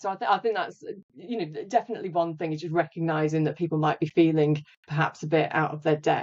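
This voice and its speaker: Ordinary pitch variation accompanies delivery at a very fast speed. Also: woman, fairly low pitch for a woman. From Stoke-on-Trent, England. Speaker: leadership consultant. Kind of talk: podcast interview.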